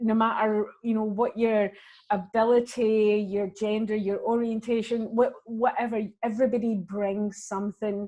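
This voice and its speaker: A woman with a Glaswegian accent speaks at a moderate pace in a fairly high voice with a dark, mellow tone. Her intonation is monotone and flat, and the background is quiet. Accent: Glaswegian Scottish. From Scotland, Glasgow. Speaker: actor and comedian. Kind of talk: interview.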